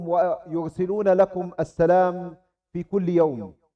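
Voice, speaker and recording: In an Arabic accent, the speaker talks at a very slow pace. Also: man. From Gaza, Palestine. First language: Arabic (speaking Indonesian). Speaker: Islamic scholar. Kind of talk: religious talk to students. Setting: Islamic boarding school. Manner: halting in Indonesian.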